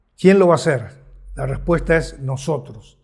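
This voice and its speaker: A man with a fairly high pitched, somewhat breathy voice speaks with ordinary pitch variation, and room echo can be heard. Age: 70s. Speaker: ministry leader. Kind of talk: sermon. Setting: virtual conference. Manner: passionate, exhorting.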